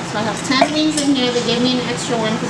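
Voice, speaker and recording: A woman talking at a fairly quick pace over loud background noise. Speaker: food challenge vlogger. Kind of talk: casual vlog chat. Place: home room. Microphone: camera far.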